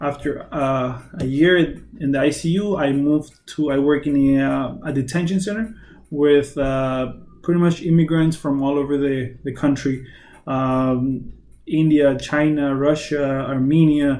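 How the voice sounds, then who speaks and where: Speaking fairly slowly with a Spanish accent, a man uses a fairly high pitch, a dark, mellow tone and fairly even intonation. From Mexicali, Mexico. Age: 20s. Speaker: nurse. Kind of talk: self-introduction video. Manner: halting, many fillers.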